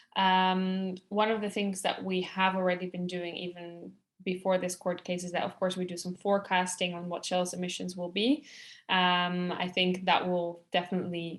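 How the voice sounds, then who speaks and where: A speaker with a Dutch accent talks at a moderate pace in a flat monotone. The background is quiet. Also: woman. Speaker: climate campaigner. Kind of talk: webinar panel discussion. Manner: hesitant, many fillers.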